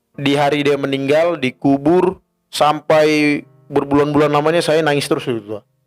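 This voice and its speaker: A man's fairly high voice with a slight North Sumatran accent, fairly even intonation and a fairly quick pace, over music in the background. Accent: slight Batak accent, rough. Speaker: podcast co-host. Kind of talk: casual chat. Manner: informal, conversational.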